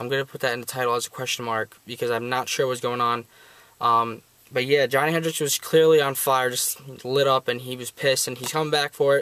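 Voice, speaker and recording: At a fairly quick pace, a man speaks in a bright, sharp, medium-pitched voice with monotone, flat intonation. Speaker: sports video reviewer. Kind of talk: casual commentary vlog. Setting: unusual recording location. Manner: fast; hesitant, many fillers.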